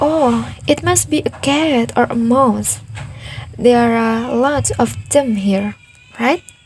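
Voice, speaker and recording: A woman talks very slowly, with noticeable noise in the background. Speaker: podcaster. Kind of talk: casual monologue.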